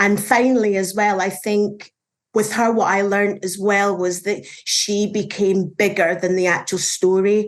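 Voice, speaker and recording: A woman speaks in a Scottish accent at a fairly slow pace. The background is quiet. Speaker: journalist. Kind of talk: panel discussion.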